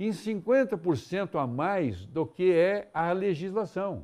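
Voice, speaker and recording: A man is speaking. The background is quiet. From Paraná, Brazil (Londrina); Paraná, Brazil. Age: 70s. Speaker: businessman; interview guest. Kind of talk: TV interview. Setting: TV studio. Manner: halting, with repetitions. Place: studio. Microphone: lapel.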